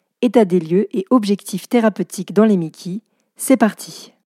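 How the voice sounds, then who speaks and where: Against a very clean recording with a silent background and a dry, close sound with no echo, a woman speaks at a moderate pace in a medium pitch with ordinary pitch variation and a dark, mellow tone. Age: 30s. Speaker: journalist and podcast host. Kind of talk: podcast interview.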